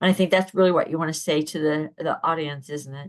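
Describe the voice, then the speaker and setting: Against a quiet background, a woman with a very deep, low pitch talks at a fairly quick pace with fairly even intonation. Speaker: podcast host. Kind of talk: casual interview.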